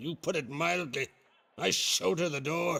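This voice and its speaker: A man puts on a raspy character voice at a fairly high pitch. His intonation is lively and his pace moderate. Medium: video game. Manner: hearty, archaic island speech.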